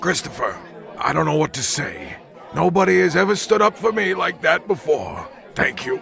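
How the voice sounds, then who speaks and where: A man performs in a put-on character voice at a moderate pace. Background noise is clearly audible. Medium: voice reel. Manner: emotional, sincere.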